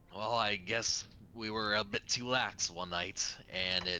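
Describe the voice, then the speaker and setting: A man puts on a character voice, pitched fairly low. He goes at a fairly slow pace over clear background noise. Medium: actual play. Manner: terse, serious.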